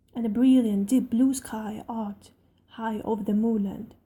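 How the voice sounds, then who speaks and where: A woman's voice with a dark, mellow tone comes across somewhat breathy. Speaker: amateur narrator. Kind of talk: audiobook reading.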